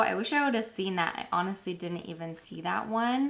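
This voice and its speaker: A woman talks at a moderate pace in an animated tone, with very wide pitch swings. Noticeable background noise is present. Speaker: beauty and lifestyle YouTuber. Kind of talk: product unboxing.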